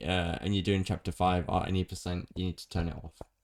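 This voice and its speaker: A man with a British accent and a very deep, low pitch speaks at a very fast pace. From Britain. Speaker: gaming streamer. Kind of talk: tutorial. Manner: casual.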